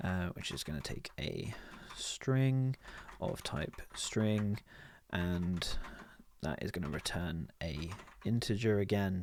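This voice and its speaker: A man's very deep, low voice with lively intonation, at a very slow pace full of long, frequent pauses. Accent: British. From United Kingdom. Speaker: programmer. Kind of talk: coding tutorial walkthrough.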